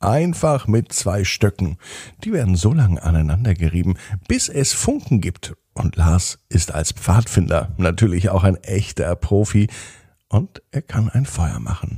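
A man speaks at a fairly slow pace with a low pitch and big pitch swings. His tone is dark and mellow with a slightly husky edge, on a very clean recording with a silent background. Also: few pauses.

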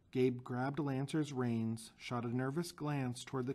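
The clip is plain reading aloud with a fairly even intonation.

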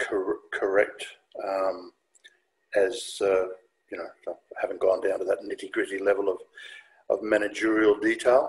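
A man speaks low and fairly slowly, with a husky, rough edge and little pitch movement.

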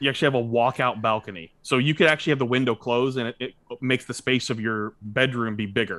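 Speaking at a very fast pace, a man with an American accent has a bright, sharp tone in a dry recording with no echo. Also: medium pitch for a man, ordinary pitch variation, quiet background. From Tennessee, US South. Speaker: podcast host. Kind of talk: casual chat. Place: home room. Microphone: studio mic.

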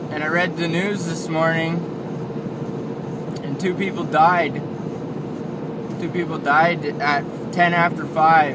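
Against loud background noise, a man talks at a fairly slow pace with long, frequent pauses in a dry sound with no echo. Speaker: driver vlogger. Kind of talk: casual vlog chat. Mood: sober about fatal crash. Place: car. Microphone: phone near.

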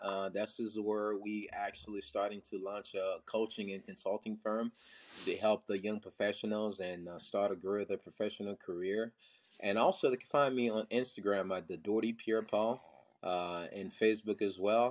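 The speech moves at a moderate pace in a monotone, flat intonation against a quiet background. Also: man. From Haiti. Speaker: IT professional and father; podcast guest. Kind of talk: interview. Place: home room. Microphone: phone near.

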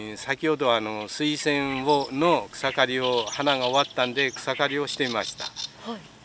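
A man talks at a moderate pace with ordinary pitch variation. The sound is dry with no echo, and background noise is noticeable. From Hokota, Ibaraki, Japan; Ibaraki, Japan. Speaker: local community volunteer. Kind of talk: interview. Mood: friendly, smiling. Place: waterside. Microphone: handheld.

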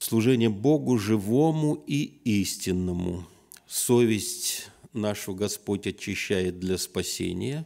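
Against a quiet background, a man with a fairly low, dark, mellow voice speaks very slowly with lively intonation. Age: 60s. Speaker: visiting preacher. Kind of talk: sermon. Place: church. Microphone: podium.

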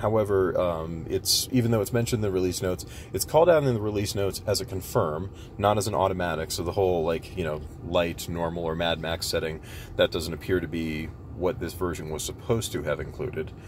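Talking at a very fast pace, a man with a very deep, low pitch and ordinary pitch variation sounds dry with no echo over light background noise. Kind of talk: tutorial walkthrough. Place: car. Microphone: phone near.

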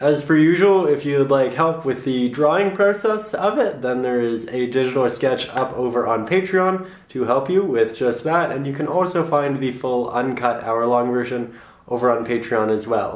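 With hardly any pauses, a man talks at a moderate pace and medium pitch, his intonation lively, amid audible room echo and noticeable background noise. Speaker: painting teacher. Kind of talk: tutorial intro. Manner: halting, repeating words.

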